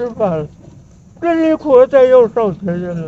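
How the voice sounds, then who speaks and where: Over light background noise, a man with a Beijing accent speaks at a fairly slow pace. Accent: Beijing Mandarin. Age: 80s+. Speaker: elderly local resident. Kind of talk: street interview answer. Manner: stammering. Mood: reminiscing about hard times. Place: street. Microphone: phone near.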